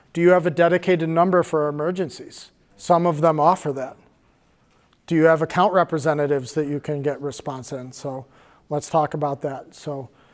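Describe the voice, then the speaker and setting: On a very clean recording with a silent background, a man with a plain, everyday voice talks at a fairly quick pace and fairly high pitch, keeping his intonation fairly even. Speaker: cybersecurity workshop presenter. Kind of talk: workshop presentation.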